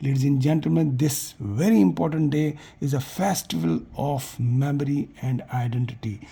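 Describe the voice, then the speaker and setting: Speaking at a moderate pace in a Kashmiri accent, a man uses a fairly high pitch with a dark, mellow, somewhat breathy tone and lively intonation. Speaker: community vlogger. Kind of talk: festival address to viewers. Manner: emotional, repetitive.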